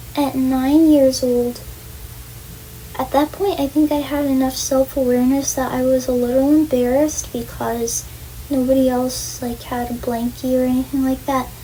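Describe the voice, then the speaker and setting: Amid noticeable background noise, a woman with an American accent speaks at a moderate pace in a high, flat monotone. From New York, Long Island. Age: 20s. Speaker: vlogger. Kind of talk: casual vlog monologue. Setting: bedroom at home. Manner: halting; soft-spoken. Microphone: far from the camera.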